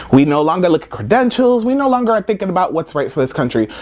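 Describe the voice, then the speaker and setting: Loud and animated, a man with an American accent speaks at a high pitch with very wide pitch swings. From United States. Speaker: comedy vlogger. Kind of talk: comedic rant to camera. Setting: friend's house.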